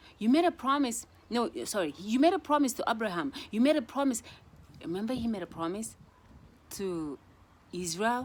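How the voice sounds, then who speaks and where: At a moderate pace, a woman with a fairly high voice makes very wide pitch swings and leaves long, frequent pauses. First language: not English. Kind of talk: casual devotional vlog. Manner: halting, repeats words.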